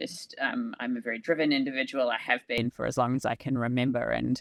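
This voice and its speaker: This woman's voice has a dry, close sound with no echo over a quiet background. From New Zealand. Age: 40s. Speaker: organisational transformation leader and hiker. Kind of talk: casual interview conversation.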